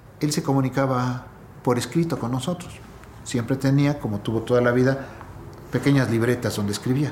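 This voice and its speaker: Noticeable background noise surrounds a man of medium pitch with fairly even intonation. He moves at a fairly quick pace but leaves long, frequent pauses. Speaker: poet's son. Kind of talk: interview.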